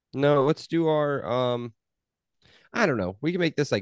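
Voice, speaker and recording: A man speaks at a moderate pace, the sound dry and close with no echo over a quiet background. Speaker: podcast host. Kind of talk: casual chat.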